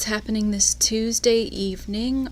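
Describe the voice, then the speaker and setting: A soft-spoken woman at a very slow pace. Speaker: yarn shop podcast host. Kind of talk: casual chat.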